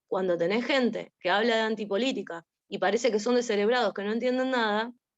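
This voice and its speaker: A woman talks at a fairly quick pace in a fairly high voice with ordinary pitch variation. It is an unremarkable speaking voice. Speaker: seminar participant. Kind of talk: discussion in online seminar.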